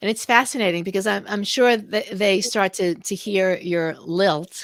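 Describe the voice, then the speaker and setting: At a fairly slow pace, a woman with a New York accent speaks at medium pitch with ordinary pitch variation. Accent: New York American. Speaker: podcast host and co-author. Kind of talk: casual interview chat.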